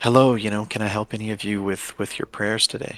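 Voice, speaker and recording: A put-on character voice from a man, fairly low-pitched, flat and monotone, at a fairly quick pace. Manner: calm.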